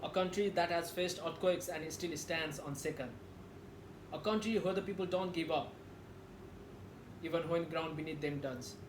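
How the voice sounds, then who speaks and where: A man with a Nepali accent and a fairly high pitch speaks at a moderate pace with ordinary pitch variation. Audible room echo and noticeable background noise fill the recording. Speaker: public speaking practice creator. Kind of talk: practiced motivational speech.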